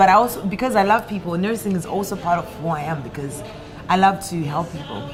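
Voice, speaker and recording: A woman talks at a very fast pace, with big swings in loudness. The room echo is audible, and background noise is noticeable. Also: medium pitch for a woman, ordinary pitch variation. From Zimbabwe. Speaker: musician. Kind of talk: interview. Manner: bubbly, animated.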